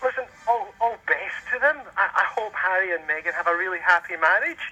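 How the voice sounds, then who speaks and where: A man with a Scottish accent talks in a high, raised and projected voice at a fairly quick pace. His intonation is lively, and background noise is noticeable. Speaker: caller. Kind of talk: radio interview.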